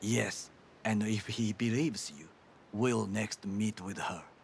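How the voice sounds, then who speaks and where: A man uses a put-on character voice at a fairly low pitch and a fairly slow pace. Clear background noise can be heard. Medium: video game. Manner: formal, stiff, avoids contractions.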